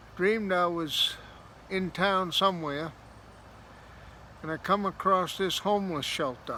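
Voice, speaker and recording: A man speaks fairly slowly in a raised, projected voice at a high pitch. His tone is bright and sharp, with long, frequent pauses. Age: 60s. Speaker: storyteller vlogger. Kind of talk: casual storytelling.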